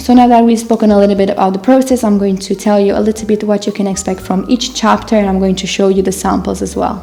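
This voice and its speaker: Amid noticeable background noise, a woman with a non-native accent talks very fast at a medium pitch with fairly even intonation. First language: not English. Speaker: knitting designer and author. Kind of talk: casual talk to camera.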